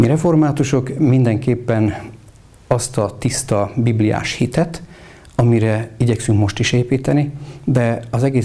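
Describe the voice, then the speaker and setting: A man with an unremarkable speaking voice talks at a fairly slow pace with fairly even intonation. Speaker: Reformed Church bishop. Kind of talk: interview.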